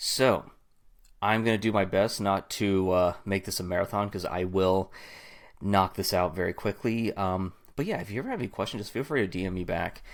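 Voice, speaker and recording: A man with an American accent speaks fairly quickly in a fairly low pitch, with fairly even intonation. The recording is very clean, with a silent background. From Southern California. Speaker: marketing automation business owner. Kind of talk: software tutorial. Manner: fast; casual, filler words.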